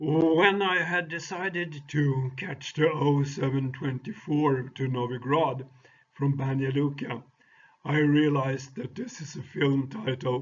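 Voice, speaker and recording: A somewhat breathy man at a fairly high pitch and fairly slow pace, with ordinary pitch variation. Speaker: travel vlogger. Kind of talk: travel video narration. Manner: hesitant, many fillers.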